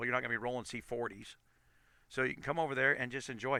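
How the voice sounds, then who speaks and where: Monotone, flat intonation marks this man's medium-pitched voice, which has a bright, sharp tone. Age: 50s. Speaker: gaming streamer. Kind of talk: live stream commentary. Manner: halting, many repeats and self-corrections.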